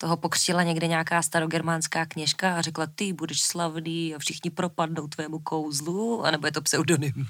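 This woman has an unremarkable speaking voice, fairly low in pitch with fairly even intonation. She keeps a moderate pace with hardly any pauses. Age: 30s. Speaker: podcast co-host. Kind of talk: podcast conversation.

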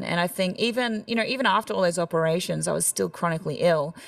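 With an Australian accent, a woman talks at a very fast pace in a fairly low pitch. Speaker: country singer. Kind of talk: casual interview chat.

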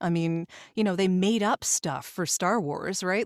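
Heard at a moderate pace, a woman with a medium pitch uses a plain, everyday voice in a very clean recording with a silent background and a dry, close sound with no echo. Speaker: voice actor and singer. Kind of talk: casual interview chat.

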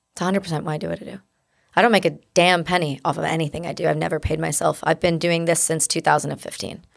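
A woman with a Canadian accent talks at a very fast pace in a fairly low voice with vocal fry and fairly even intonation. The recording is very clean, with a silent background. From English-speaking Canada. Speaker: war veteran. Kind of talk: interview testimony.

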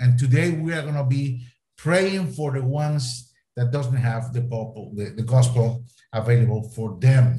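Speaking at a moderate pace and medium pitch, a man with a Latin American accent has a dark, mellow tone that is somewhat breathy. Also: ordinary pitch variation. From Costa Rica. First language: Spanish. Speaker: missionary and mission network leader. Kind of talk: prayer session address.

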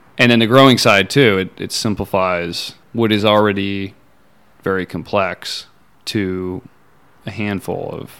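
Fairly slow and fairly even in intonation, a man with an American accent and a fairly low pitch uses an ordinary speaking voice, his loudness swinging widely on a very clean recording with a silent background. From Montana. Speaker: aquaponics farm owner. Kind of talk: interview. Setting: on-site at a farm.

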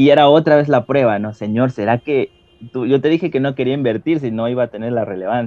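Talking at a very fast pace, a man with a medium pitch and ordinary pitch variation comes through with a dry, close sound and no echo. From Ecuador. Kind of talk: testimony. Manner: hesitant with fillers.

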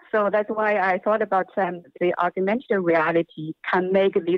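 This woman has a Chinese accent. Her voice sits at a medium pitch. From China. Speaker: performance and new media artist. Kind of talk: interview. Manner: halting.

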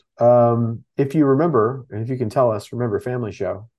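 A man with an American accent and a normal speaking voice, medium in pitch, with fairly even intonation and a fairly quick pace. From Texas. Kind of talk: casual chat. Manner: casual, filler-heavy.

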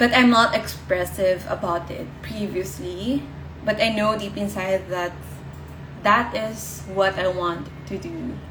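At a very slow pace, a woman's loudness swings widely over noticeable background noise. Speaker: brand strategist and podcast host. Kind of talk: live Instagram session talk, rebroadcast as podcast. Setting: Instagram live session. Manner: soft-spoken, gentle; informal, with filler words.

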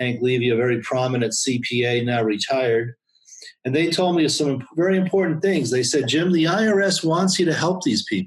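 This man has a fairly high voice and speaks at a moderate pace with lively intonation. His loudness stays very even, and his voice is somewhat breathy. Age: 60s. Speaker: accountant. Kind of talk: interview. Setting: home office.

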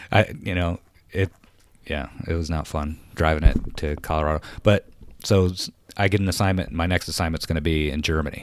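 With an American accent, a man speaks in a very deep, low voice with ordinary pitch variation. Long, frequent pauses break up his speech on a very clean recording with a silent background. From upstate New York. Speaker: retired Air Force veteran, car enthusiast. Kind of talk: casual chat. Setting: studio.

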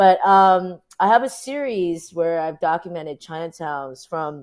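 On a very clean recording with a silent background, a woman with a fairly low pitch and an unremarkable speaking voice talks at a fairly slow pace with lively intonation. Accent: American. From US, Orange County, California. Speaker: activist photographer. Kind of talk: interview. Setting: livestream.

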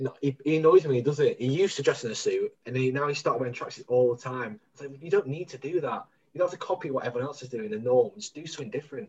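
A man speaks at a very fast pace, his pitch fairly high. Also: ordinary pitch variation. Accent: Mancunian. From Manchester. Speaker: podcast co-host. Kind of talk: casual chat. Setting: remote recording from home.

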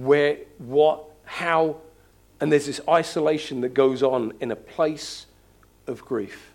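Very slowly, a man speaks at a fairly high pitch. His intonation is fairly even. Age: 50s. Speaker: pastor. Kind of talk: sermon.

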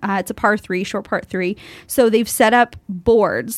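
A woman with a Canadian accent speaks in a plain, everyday voice. Her pitch is fairly high. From Canada. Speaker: sports broadcaster. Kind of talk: casual chat. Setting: studio.

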